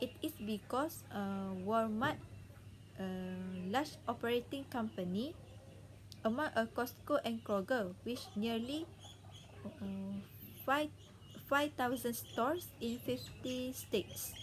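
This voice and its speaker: Speaking at a very slow pace, a woman leaves long, frequent pauses over light background noise. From Malaysia. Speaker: university student; presenter. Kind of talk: class presentation. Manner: halting. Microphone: webcam.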